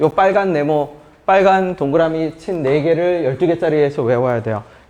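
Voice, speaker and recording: This man's voice sits fairly high, with a dark, mellow tone. He keeps a moderate pace and ordinary pitch variation. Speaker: math teacher. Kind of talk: lecture.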